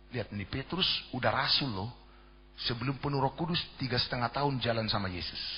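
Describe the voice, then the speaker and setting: A man with a medium pitch rattles along very fast, his pitch varying in an ordinary way. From Jakarta, Indonesia (Batak ethnicity). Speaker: pastor. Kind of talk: sermon.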